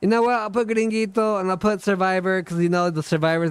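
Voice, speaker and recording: The speaker is a man with a high pitch. His pitch varies in an ordinary way. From South America. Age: 30s. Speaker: gaming streamer. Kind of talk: live stream Q&A chat. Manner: fast when excited, sometimes stutters; slurs some words.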